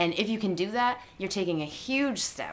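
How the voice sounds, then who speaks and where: A woman speaks with audible room echo. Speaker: writing blogger. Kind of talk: vlog advice talk. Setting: on camera. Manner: casual, with many fillers.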